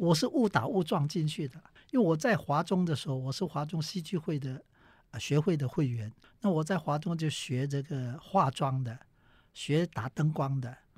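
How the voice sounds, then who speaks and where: A man's somewhat breathy, fairly high-pitched voice with ordinary pitch variation at a moderate pace, on a very clean recording with a silent background. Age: 70s. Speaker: veteran stage actor. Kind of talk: interview.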